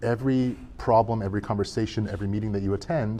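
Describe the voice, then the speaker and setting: With a dark, mellow tone, a man speaks at a fairly low pitch and varies it in an ordinary way. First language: not English. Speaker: product manager. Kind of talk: podcast interview. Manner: halting, many fillers and repeats.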